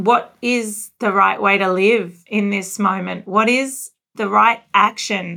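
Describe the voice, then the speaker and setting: The tone is bright and sharp, with vocal fry. Intonation is fairly even and the pace is very slow. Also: woman, medium pitch for a woman. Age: 40s. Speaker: interviewer, magazine editor. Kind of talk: interview conversation. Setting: video call.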